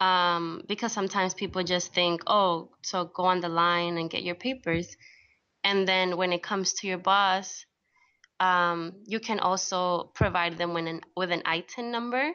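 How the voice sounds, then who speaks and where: In an American accent, a woman with an unremarkable speaking voice talks at a moderate pace, her medium pitch and fairly even intonation holding throughout. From US, New York (came from Colombia at three). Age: 20s. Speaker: advice columnist and immigrant activist. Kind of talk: radio interview.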